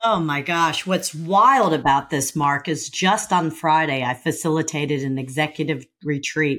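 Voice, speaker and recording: Recorded very cleanly against a silent background, a woman talks at a moderate pace in a very deep, low pitch, with ordinary pitch variation and hardly any pauses. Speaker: podcast host. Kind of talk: podcast interview.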